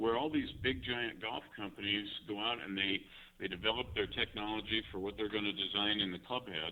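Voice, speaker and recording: Moving at a fairly quick pace, a man in a normal speaking voice has a fairly low pitch and ordinary pitch variation. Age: 60s. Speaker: golf club designer. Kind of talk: interview. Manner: many fillers (you know, um).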